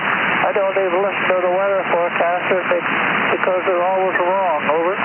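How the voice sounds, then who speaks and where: A man with a high pitch talks at a moderate pace amid noticeable background noise and audible room echo. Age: 90s. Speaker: ham radio operator. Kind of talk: ham radio contact. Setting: radio transmission.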